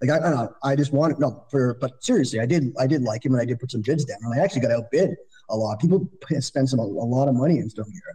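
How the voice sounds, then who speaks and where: A man with a Canadian accent talks at a very fast pace, his voice somewhat breathy with a dark, mellow tone. His pitch sits in the medium range with ordinary pitch variation. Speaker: fantasy baseball podcast co-host. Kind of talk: casual chat.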